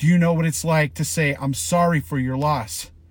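In a very clean recording with a silent background, a man with a somewhat breathy voice speaks at a fairly high pitch with fairly even intonation. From Colorado, Boulder. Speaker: sheriff's commander. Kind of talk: emotional monologue.

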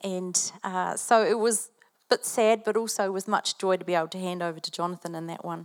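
Talking at a very fast pace with a New Zealand accent, a woman keeps fairly even intonation amid big swings in loudness, recorded dry and close with no echo. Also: medium pitch for a woman. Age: 50s. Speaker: pastor. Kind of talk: sermon. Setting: church.

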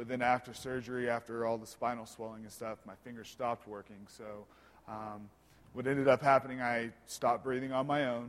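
A man's medium-pitched, monotone voice at a fairly quick pace, with big swings in loudness. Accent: American. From Oklahoma. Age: 20s. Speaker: church member sharing life story. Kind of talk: testimony.

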